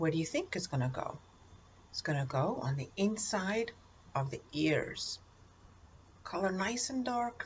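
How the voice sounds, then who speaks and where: A somewhat breathy woman speaks at a fairly slow pace, her pitch swinging very widely, with long, frequent pauses. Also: medium pitch for a woman. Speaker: art teacher. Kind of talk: tutorial. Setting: recorded video. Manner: encouraging, addressing kids.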